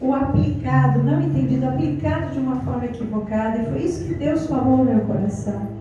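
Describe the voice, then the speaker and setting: A soft-spoken woman's pitch swings very widely. Audible room echo and noticeable background noise surround her voice. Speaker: pastor. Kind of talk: sermon. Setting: women's gathering in a house.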